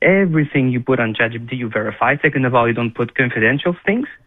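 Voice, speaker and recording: Speaking at a very fast pace with a Quebec accent, a man keeps a medium pitch and ordinary pitch variation. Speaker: defence lawyer. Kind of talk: radio interview. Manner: halting, repeats words.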